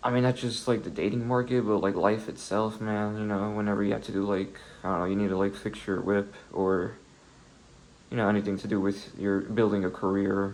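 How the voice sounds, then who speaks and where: Soft-spoken and fairly low-pitched, a man talks at a fairly quick pace in a monotone, flat intonation. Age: 20s. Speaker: solo video creator talking about philosophy. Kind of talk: casual vlog monologue. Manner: halting, many fillers.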